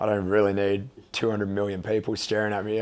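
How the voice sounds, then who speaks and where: A man with an Australian accent, a fairly low pitch and a very fast pace, against a quiet background. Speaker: college football punter. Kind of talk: casual interview. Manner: hesitant, many fillers.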